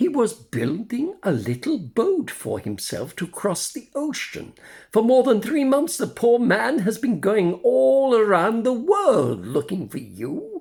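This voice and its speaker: Putting on a character voice, a man speaks at a high pitch and a fairly slow pace with hardly any pauses. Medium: read story. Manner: gentle, fatherly.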